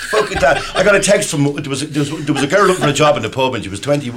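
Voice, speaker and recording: In an Irish accent, a man speaks at a very fast pace with very wide pitch swings and fairly high pitch. Noticeable background noise runs underneath. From Ireland. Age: 50s. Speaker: podcast panelist. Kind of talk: casual chat.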